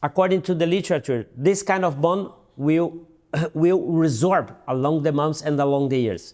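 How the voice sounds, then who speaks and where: A man's fairly high voice with ordinary pitch variation and a Portuguese accent. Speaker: dental surgeon. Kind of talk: interview. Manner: halting, with repeats and fillers.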